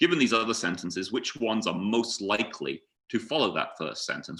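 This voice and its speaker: A man with a British accent and a bright, sharp tone talks at a fairly quick pace. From UK. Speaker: data scientist, conference speaker. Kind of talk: conference presentation.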